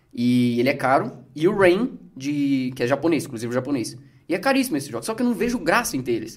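At a very fast pace, a man speaks in a fairly high pitch with very wide pitch swings. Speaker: game collector and gameplay youtuber. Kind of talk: casual chat.

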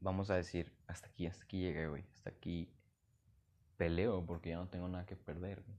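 Very deep and low, a man's voice moves at a fairly quick pace with a Mexican accent. His intonation is monotone and flat. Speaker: podcaster. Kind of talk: casual monologue. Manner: halting.

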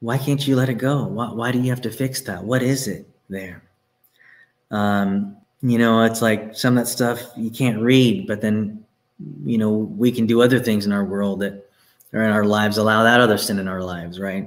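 A man with an American accent speaks in an unremarkable speaking voice at medium pitch and a moderate pace, with ordinary pitch variation. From Texas. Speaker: pastor. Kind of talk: sermon.

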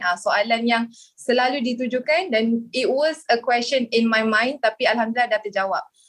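This woman has an unremarkable speaking voice. Her pace is moderate. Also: fairly high pitch for a woman, ordinary pitch variation. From Kuala Lumpur, Malaysia. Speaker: communications executive and gold dealer. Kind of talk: podcast panel discussion.

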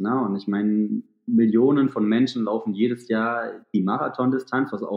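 The man has an unremarkable speaking voice, medium in pitch, delivered at a fairly slow pace with fairly even intonation. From Thuringia, Germany. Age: 30s. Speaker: ultrarunner and sports therapist. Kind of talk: podcast interview.

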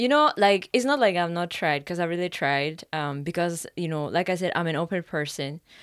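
With a Finnish accent, a woman speaks at a moderate pace and fairly low pitch, with lively intonation and hardly any pauses, in a very clean recording with a silent background. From Finland. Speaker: practical nurse. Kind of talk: casual chat.

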